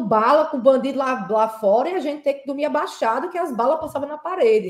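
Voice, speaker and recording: With a strong northeastern Brazilian accent, a woman speaks in a high voice with lively intonation. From São Paulo, Brazil (Heliópolis), Northeastern parents. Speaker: petroleum engineer. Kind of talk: interview conversation. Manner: halting, many fillers and repetitions.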